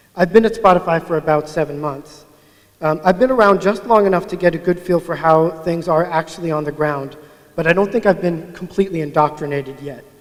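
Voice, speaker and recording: Mumbling at a fairly quick pace, a man talks in a high pitch. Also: ordinary pitch variation. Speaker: agile coach, conference speaker. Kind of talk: conference talk. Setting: stage with audience.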